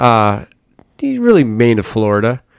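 This is a man with an unremarkable speaking voice at a medium pitch, talking at a fairly quick pace. The recording is very clean with a silent background, dry and close with no echo. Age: 30s. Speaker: yacht broker. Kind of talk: casual chat.

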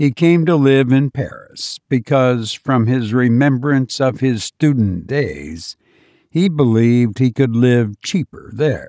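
At a very slow pace, a man talks in a relaxed, dark and mellow tone with a medium pitch and ordinary pitch variation, in a dry, close sound with no echo. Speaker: podcast host and narrator. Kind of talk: horror story narration, read aloud in a hushed, measured storyteller's voice; casual chat with listeners. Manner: slow, deliberate, suspenseful narration; relaxed, conversational, self-deprecating.

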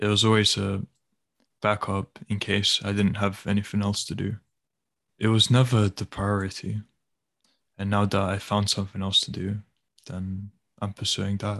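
Delivery is at a moderate pace, with long, frequent pauses and monotone, flat intonation. The sound is dry and close with no echo, over a quiet background. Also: man, fairly low pitch for a man. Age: 20s. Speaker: podcast co-host. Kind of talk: casual chat.

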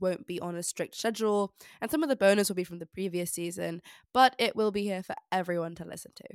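An unremarkable speaking voice from a woman at a fairly quick pace, ordinary pitch variation and big swings in loudness, dry and close with no echo, on a very clean recording with a silent background. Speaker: podcast co-host, history student. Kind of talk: casual chat; scripted show outro.

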